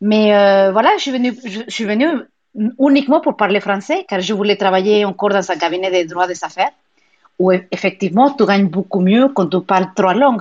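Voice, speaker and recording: Speaking in a Spanish accent, a woman keeps a moderate pace and a medium pitch with ordinary pitch variation. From Mexico. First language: Spanish (speaking French). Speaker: pilates and yoga studio owner. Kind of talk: interview. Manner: animated; halting.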